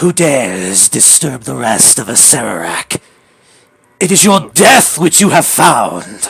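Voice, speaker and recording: A man speaks in a booming, put-on character voice at a fairly slow pace. His pitch sits in the middle range but swings very widely. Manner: menacing, commanding.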